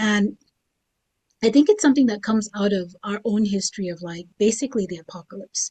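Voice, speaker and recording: A woman speaks in a somewhat breathy voice at medium pitch with ordinary pitch variation. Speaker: writer and panelist. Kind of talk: panel discussion.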